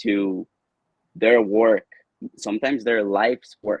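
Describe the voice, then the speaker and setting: The sound is dry and close, with no echo. A man with a Spanish accent speaks at a medium pitch. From Colombia. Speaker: video producer and entrepreneur. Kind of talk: interview.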